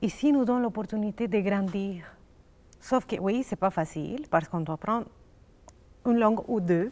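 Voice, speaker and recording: A woman's medium-pitched voice broken by long, frequent pauses. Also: ordinary pitch variation, moderate pace. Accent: Spanish. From Colombia. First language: Spanish (speaking French). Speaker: immigrant psychologist. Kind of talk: casual chat. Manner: halting.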